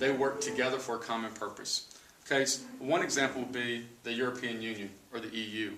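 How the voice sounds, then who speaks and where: Amid noticeable background noise and audible room echo, a man with an American accent talks fairly quickly at a medium pitch with fairly even intonation. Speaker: sixth grade social studies teacher. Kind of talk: lecture. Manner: fast.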